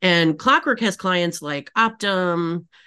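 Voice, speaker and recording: A woman with a bright, sharp tone. Her pitch sits fairly low. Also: quiet background. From Michigan, Upper Peninsula. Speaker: agency CEO and author. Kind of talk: casual interview chat.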